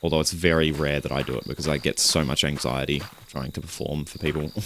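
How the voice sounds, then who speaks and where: Here is a man with a very deep, low pitch. His intonation stays fairly even. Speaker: streamer and musician. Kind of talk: casual livestream chat. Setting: livestream while gaming.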